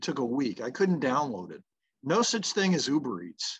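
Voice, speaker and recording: A man talks at a fairly high pitch and a moderate pace. His intonation is lively, set against a quiet background. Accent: American. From US South, Memphis. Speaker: mental performance coach. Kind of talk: casual interview.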